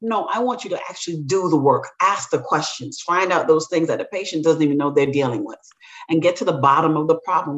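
A woman with a normal speaking voice talks at a fairly quick pace. Her pitch is fairly low and her intonation lively. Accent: American. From Brooklyn, New York (Jamaican family). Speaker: chiropractor and instructor. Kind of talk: interview conversation.

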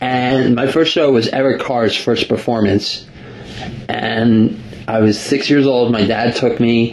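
With an American accent, the voice moves at a fairly slow pace and fairly even intonation over noticeable background noise. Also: man. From US, New Jersey. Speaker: radio host. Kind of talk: casual interview.

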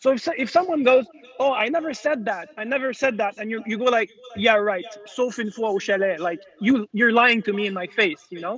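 In a Quebec accent, a man speaks at a fairly quick pace with a high pitch. His pitch variation is ordinary. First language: French. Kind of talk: casual chat. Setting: video call.

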